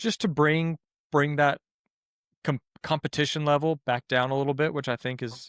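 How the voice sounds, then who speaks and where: In a slight Southern US accent, a man speaks at a fairly high pitch and moderate pace with ordinary pitch variation and long, frequent pauses, in a dry, close sound with no echo on a very clean recording with a silent background. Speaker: podcast co-host and time attack racer. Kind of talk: casual podcast chat.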